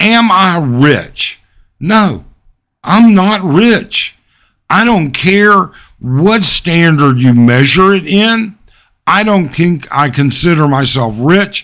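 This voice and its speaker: This man has a high pitch and an American accent, speaking at a very slow pace with lively intonation. His loudness stays very even on a very clean recording with a silent background. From United States. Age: 60s. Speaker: expat vlogger. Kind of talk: live stream chat. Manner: casual, hesitant with fillers.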